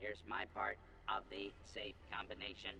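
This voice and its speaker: Loud background noise behind a put-on character voice. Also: man, moderate pace. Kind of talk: cowboy western role-play. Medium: video game. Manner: upbeat, salesman-like.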